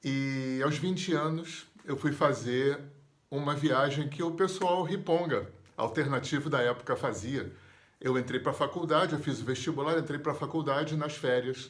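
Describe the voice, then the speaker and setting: A man with a normal speaking voice, fairly high pitch, fairly slow pace, and fairly even intonation. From Brazil, Rio de Janeiro. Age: 60s. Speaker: therapist and yoga teacher. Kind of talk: personal storytelling interview.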